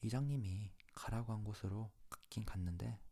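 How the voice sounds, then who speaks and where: A man's fairly low, dark, mellow voice, somewhat breathy and soothing in tone, at a very slow pace with fairly even intonation. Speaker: ASMR channel host. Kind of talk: ASMR fairy tale reading. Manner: soft, slow, soothing bedtime reading.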